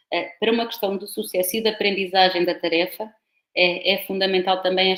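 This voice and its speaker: With fairly even intonation, a woman talks at a moderate pace and a medium pitch. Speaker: professor. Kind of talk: lecture.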